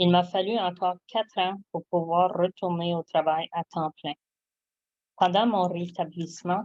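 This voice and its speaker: In a dry, close sound with no echo, a woman with a fairly low pitch speaks fairly slowly in a monotone, flat intonation. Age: 70s. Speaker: product distributor giving testimony. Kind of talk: testimony. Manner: reading aloud, prepared text.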